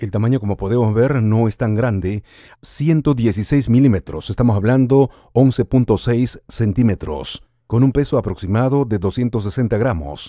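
With a Latin American accent, a man talks at a moderate pace in a dark, mellow tone with ordinary pitch variation, his dry sound carrying no echo over a quiet background. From Peru. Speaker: radio host. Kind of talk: product unboxing voice-over. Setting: studio. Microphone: studio mic.

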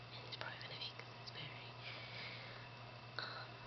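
A woman talks at a very fast pace over loud background noise. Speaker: vlogger. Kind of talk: casual whispered vlog talk. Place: home room. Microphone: webcam.

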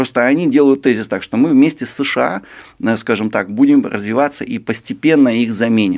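Over a quiet background, a man speaks at a fairly quick pace with ordinary pitch variation. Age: 30s. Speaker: sinologist, China expert; guest. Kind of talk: interview. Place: studio. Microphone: studio mic.

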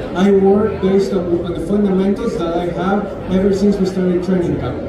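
Over crowd noise and audible room echo, a man speaks at a fairly quick pace. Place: hall.

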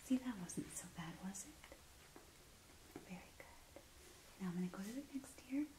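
Whispering in a soothing tone, a woman speaks. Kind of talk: soft-spoken roleplay instructions. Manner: soft, soothing ASMR murmur.

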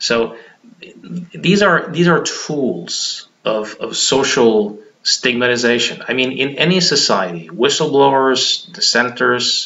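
A man speaks at a very slow pace, his pitch swinging very widely. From Norway. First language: Norwegian. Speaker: hypnotherapist; hypnotist commentator. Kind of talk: monologue vlog. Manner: halting, frequent repetitions. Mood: argumentative, critical. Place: home room. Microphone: webcam.

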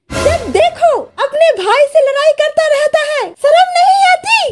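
A cartoonish character voice, female-sounding, at a moderate pace. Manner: scolding.

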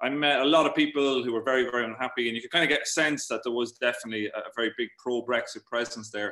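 A man talks very fast with an Irish accent and hardly any pauses. His pitch is medium and his intonation fairly even. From Ireland. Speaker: journalist and author. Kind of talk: talk and Q&A at online meeting. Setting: video call.

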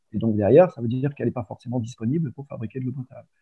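A man talks very fast with ordinary pitch variation, and the background behind him is quiet. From Provence, France. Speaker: water industry business developer, chemist. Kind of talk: interview conversation. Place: home room. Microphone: video call.

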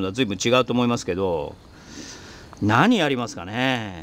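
The voice is a man's. The sound is dry, with no echo. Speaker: organic farmer, video host; video host. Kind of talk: casual monologue while working on the farm. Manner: chatty, rambling at length. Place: farm machine. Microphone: phone near.

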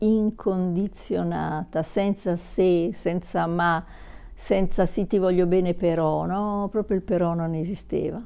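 Very slow and fairly even in intonation, a woman speaks in a dark, mellow tone against a quiet background. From southern Italy, Naples; southern Italy. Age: 60s. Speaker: YouTuber. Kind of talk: personal vlog monologue. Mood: warm, reflective. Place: home room. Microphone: lapel.

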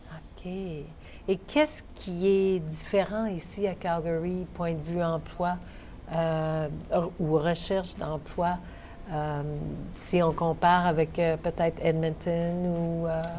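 Over light background noise, a woman with a fairly low voice speaks very slowly in a flat monotone. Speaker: TV co-host. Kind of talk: TV interview. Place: studio.

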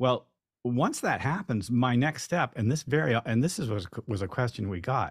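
This man has a medium-pitched, somewhat breathy voice with lively intonation. The background is quiet. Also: moderate pace. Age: 60s. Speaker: theater sound designer and composer; guest lecturer. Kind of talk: lecture. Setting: video call. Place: home room. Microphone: studio mic.

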